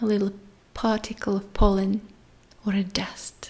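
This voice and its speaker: A woman speaks at a medium pitch in a dark, mellow, somewhat breathy tone. Her pace is fairly slow. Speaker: meditation guide. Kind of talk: guided sleep meditation.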